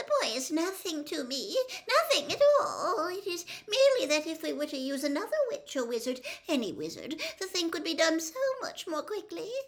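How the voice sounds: This is a put-on character voice pitched extremely high. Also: moderate pace.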